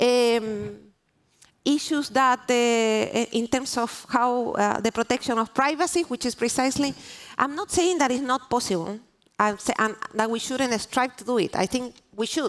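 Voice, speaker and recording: A woman speaks with a Spanish accent at a high pitch. Her pitch varies in an ordinary way. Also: moderate pace. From Chile. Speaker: diplomat. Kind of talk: panel discussion. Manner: halting, many restarts.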